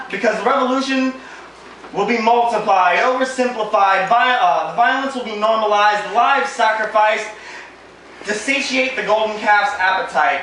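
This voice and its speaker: Raising and projecting his high voice, a man speaks in a playful tone with ordinary pitch variation over noticeable background noise. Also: moderate pace. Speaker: spoken word poet. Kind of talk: spoken word poem performed live to an audience. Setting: live poetry event on stage with audience. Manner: wry, playful, with laughs at his own jokes.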